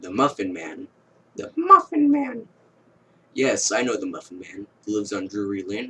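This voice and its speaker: A put-on character voice at a moderate pace. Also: man. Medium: read story.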